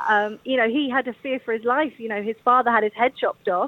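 A woman with a London accent, fairly high-pitched and fairly quick, in a dry, close sound with no echo. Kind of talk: radio interview.

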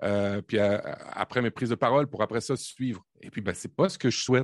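A man talks at a medium pitch and a moderate pace. The background is quiet. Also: dry, close sound with no echo. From Quebec, Canada (born in Normandy). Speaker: tech podcast co-host, team manager. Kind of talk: casual chat. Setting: video call.

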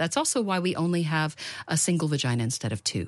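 An American-accented woman with a very deep, low pitch, lively intonation, and a fairly quick pace. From United States. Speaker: researcher and author. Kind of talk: interview.

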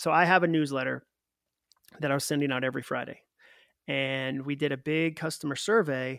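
In an unremarkable speaking voice, a man with an American accent talks at a fairly quick pace, with a fairly high pitch and fairly even intonation. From Massachusetts. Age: 40s. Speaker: author. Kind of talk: interview.

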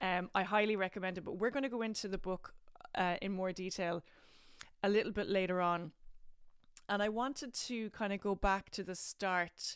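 A woman with an Irish accent speaks at a moderate pace in a medium pitch, her intonation fairly even and her speech broken by long, frequent pauses. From Ireland. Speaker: podcast host, actor. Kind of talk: casual interview chat.

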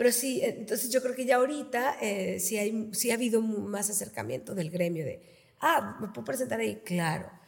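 Moderate pace and lively intonation over noticeable background noise. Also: woman, fairly high pitch for a woman. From Reynosa, Tamaulipas, northern Mexico. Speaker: theatre founder and researcher. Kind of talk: casual interview.

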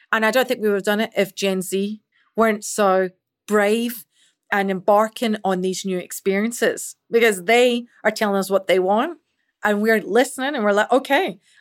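In a Scottish accent, a woman speaks at a fairly high pitch with ordinary pitch variation on a very clean recording with a silent background. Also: moderate pace. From Scotland. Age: 40s. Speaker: chief marketing officer. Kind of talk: interview.

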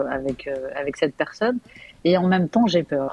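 Noticeable background noise accompanies a voice whose intonation stays lively. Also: woman. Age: 40s. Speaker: caller to a relationship advice show. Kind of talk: casual chat. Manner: halting.

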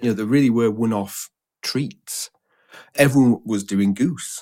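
The recording is very clean, the background silent. A man talks at a moderate speed. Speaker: food historian. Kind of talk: casual chat.

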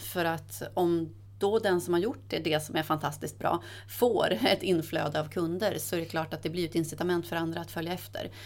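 Speaking at a fairly quick clip, a woman with a fairly low pitch lets vocal fry creep into her voice. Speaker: corporate sustainability head. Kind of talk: interview conversation. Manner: quick, sharp delivery.

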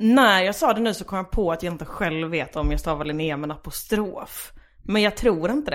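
In an unremarkable speaking voice, a woman talks at a moderate pace with medium pitch and lively intonation, on a very clean recording with a silent background. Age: 20s. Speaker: stand-up comedian. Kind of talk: casual chat.

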